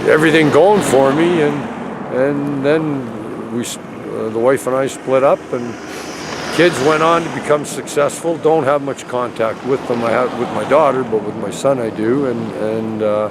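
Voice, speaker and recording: A man with a medium pitch and ordinary pitch variation talks at a moderate pace, with audible echo from the room. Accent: Canadian. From Edmonton, Canada. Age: 60s. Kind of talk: street interview, personal story. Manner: halting, repetitive.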